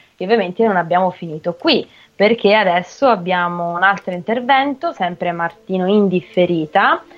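A woman with a normal speaking voice talks at a medium pitch and moderate pace, with ordinary pitch variation. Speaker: radio host. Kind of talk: casual chat.

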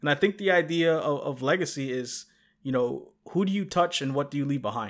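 A man talks at a fairly quick pace in a normal speaking voice, fairly high in pitch with ordinary pitch variation. The recording is very clean, with a silent background. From New York. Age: 30s. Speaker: game accessibility advocate. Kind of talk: interview.

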